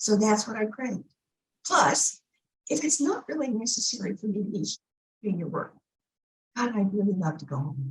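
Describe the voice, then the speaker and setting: With vocal fry and a medium pitch, a woman talks at a moderate pace, her pitch swinging very widely and her speech broken by long, frequent pauses. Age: 70s. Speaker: minister. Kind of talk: spiritual talk.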